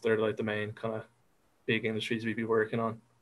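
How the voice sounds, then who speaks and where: This man has an Irish accent and a fairly low pitch. He speaks at a moderate pace with monotone, flat intonation. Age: 20s. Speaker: digital marketer. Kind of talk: interview answer. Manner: hesitant, unassuming.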